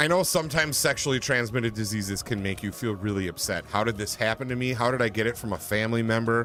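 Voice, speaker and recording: A mumbling man with a Wisconsin accent at a very fast pace, hardly any pauses, ordinary pitch variation, and music in the background. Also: medium pitch for a man. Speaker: gaming livestreamer. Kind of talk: casual chat. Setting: livestream.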